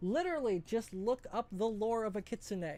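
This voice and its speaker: At a fairly slow pace, someone speaks while music plays behind. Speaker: streamer with animal avatar model. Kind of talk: live stream chat while gaming. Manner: deliberately altered voice, not normal voice; casual, filler-heavy.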